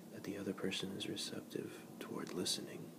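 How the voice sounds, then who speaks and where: A whisper at a moderate pace, with noticeable background noise behind it. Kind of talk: whispered ASMR reading of a book passage. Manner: whispered, soft-spoken.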